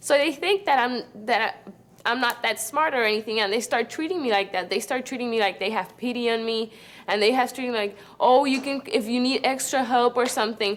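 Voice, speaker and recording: A woman with a Spanish accent speaks in a high voice. Her pace is fairly quick. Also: ordinary pitch variation. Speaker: student. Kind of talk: testimony. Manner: halting, frequent repetitions.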